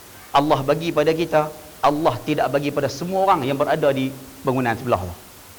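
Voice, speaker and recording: Speaking with a strong northern Malaysian accent, a man with a fairly high pitch and ordinary pitch variation talks at a very fast pace in an animated tone, with audible room echo and noticeable background noise. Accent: thick northern Malay dialect. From northern Peninsular Malaysia. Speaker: religious preacher. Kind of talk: religious lecture. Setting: mosque hall with audience.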